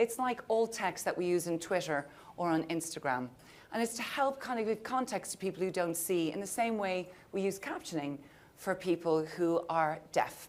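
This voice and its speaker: A woman with an Irish accent speaks at a moderate pace, her medium pitch carried by lively intonation. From Ireland. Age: 50s. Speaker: panel moderator. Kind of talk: panel discussion. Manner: animated.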